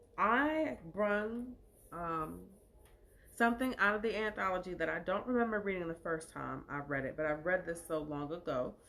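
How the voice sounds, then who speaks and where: A woman speaks at a moderate pace in a medium pitch. Her intonation is lively and her tone animated. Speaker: live show host and poet. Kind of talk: casual livestream monologue.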